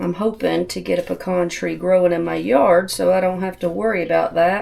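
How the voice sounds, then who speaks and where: This woman has a Southern US accent. She talks at a moderate pace. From US South. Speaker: homesteading cooking channel host. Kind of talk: cooking tutorial. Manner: casual, chatty.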